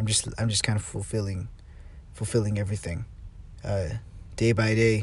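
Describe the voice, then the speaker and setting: A man talks at a moderate pace in a fairly low, somewhat breathy voice. His intonation is monotone and flat, broken by long, frequent pauses. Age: 20s. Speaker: solo podcaster. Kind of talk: casual monologue. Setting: in a car. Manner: halting, many fillers and repetitions.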